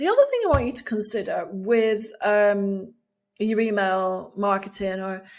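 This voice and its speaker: A woman speaks with an English accent at a fairly high pitch. Her pace is moderate. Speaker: email marketing coach, former teacher. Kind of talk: video tutorial. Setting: video recording. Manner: laid back, soft-spoken; casual, chatty.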